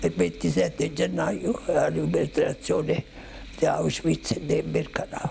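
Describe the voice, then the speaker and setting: Speaking at a very slow pace with a Roman accent, a man is heard over noticeable background noise. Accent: Roman Italian. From Rome, Italy. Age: 80s+. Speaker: Holocaust survivor. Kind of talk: testimony.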